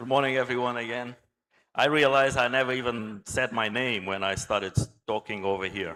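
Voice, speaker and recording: A man talks at a fairly quick pace with a Portuguese accent. His tone is bright and sharp, and his intonation stays fairly even. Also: medium pitch for a man, very clean recording, silent background. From Angola. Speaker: naval architect and engineer. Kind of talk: conference talk.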